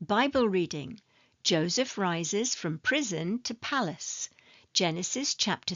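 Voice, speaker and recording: A woman with a British accent speaks at a fairly slow pace in a medium pitch. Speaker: ESL teacher. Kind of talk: English lesson narration. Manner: slow, clear.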